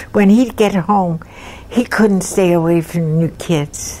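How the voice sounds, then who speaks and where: Through noticeable background noise, a woman of medium pitch speaks fairly slowly with ordinary pitch variation. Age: 80s+. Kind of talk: oral history interview answer. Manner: hesitant, rambling.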